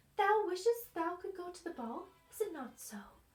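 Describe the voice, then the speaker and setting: A put-on character voice with a warm, gentle tone at a moderate pace. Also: woman, extremely high pitch for a woman. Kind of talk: old-fashioned storybook speech. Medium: read story.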